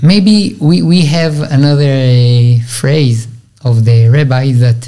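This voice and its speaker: In an Israeli accent, a man speaks at a very slow pace with lively intonation over a quiet background. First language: Hebrew. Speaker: Orthodox rabbi. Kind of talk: religious teaching interview. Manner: halting, hesitant English. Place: studio. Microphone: studio mic.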